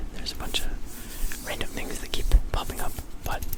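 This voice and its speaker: A whisper at a moderate pace, with noticeable background noise behind it. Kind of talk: ASMR whisper ramble to camera. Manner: whispered, casual, rambling.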